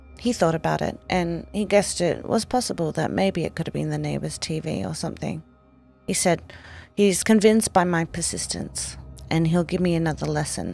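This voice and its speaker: Music plays in the background. Over it, a woman speaks at a fairly quick pace. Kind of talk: horror story narration.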